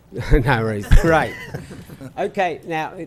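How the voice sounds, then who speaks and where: A man with a strong Australian accent, noticeable background noise behind him. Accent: Australian, still strong. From Australia, Melbourne. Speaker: traffic engineering presenter. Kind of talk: presentation. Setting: city council meeting.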